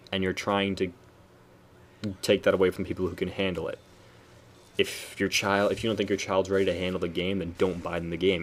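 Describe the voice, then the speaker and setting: A man speaks at a very fast pace in a fairly low voice. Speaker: gaming youtuber. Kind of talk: video commentary.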